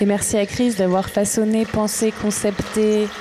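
Over noticeable background noise, a woman talks at a very slow pace and fairly high pitch in a monotone, flat intonation. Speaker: radio host. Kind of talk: live radio hosting, improvised.

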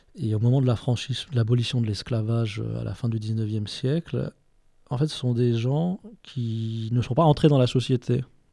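A man's dark, mellow voice at a fairly slow pace, with ordinary pitch variation, on a very clean recording with a silent background. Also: medium pitch for a man. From France. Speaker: writer. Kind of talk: interview. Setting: bookshop event. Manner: halting.

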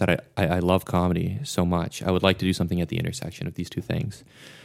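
A man is speaking. His pitch is very deep and low. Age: 20s. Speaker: podcast host. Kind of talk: casual chat.

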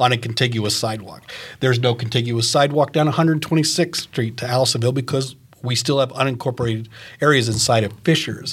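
Fairly quick, somewhat breathy speech with ordinary variation in pitch. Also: man. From Maine. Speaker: retired teacher, guest co-interviewer. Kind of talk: interview.

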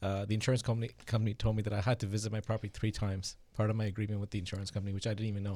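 A soft-spoken man with a fairly low pitch and a dark, mellow, somewhat breathy tone talks at a very fast pace with hardly any pauses, in monotone, flat intonation. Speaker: real estate investment agent. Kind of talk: casual interview. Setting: studio with microphones. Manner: quiet.

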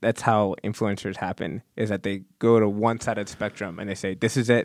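In a very clean recording with a silent background and a dry, close sound with no echo, a man speaks fairly quickly with an ordinary speaking voice and a fairly low pitch. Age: 20s. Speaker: PhD student in exercise physiology. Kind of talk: casual chat.

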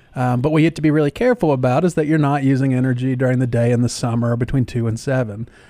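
Speaking very fast in a Southern US accent, the man has a dark, mellow tone at a medium pitch, fairly even intonation and very even loudness. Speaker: county sustainability director. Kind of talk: casual chat. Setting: studio.

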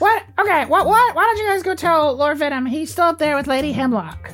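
The speaker uses a high-pitched, put-on character voice at a fairly quick pace. Music plays clearly in the background. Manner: dismissive, exasperated.

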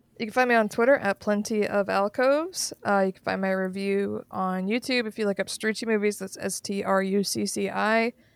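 In a normal speaking voice, a woman talks at a fairly quick pace and medium pitch with fairly even intonation, in a dry, close sound with no echo. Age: 30s. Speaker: YouTube video essayist. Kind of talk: casual chat.

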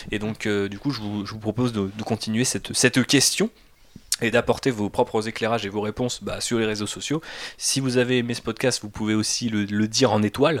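With a plain, everyday voice, a man speaks at a medium pitch and a fairly quick pace, keeping his intonation fairly even. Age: 30s. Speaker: podcast host. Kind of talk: casual chat.

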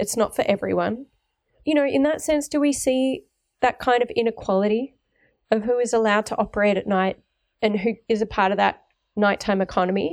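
This woman has an Australian accent and a fairly high pitch with ordinary variation, speaking at a moderate pace on a very clean recording with a silent background. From Melbourne, Australia. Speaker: guest podcast host, urban researcher. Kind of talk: interview.

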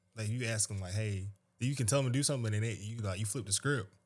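Somewhat breathy, a man with an American accent talks at a medium pitch with ordinary pitch variation, in a very clean recording with a silent background. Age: 20s. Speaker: retail manager. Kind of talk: casual chat.

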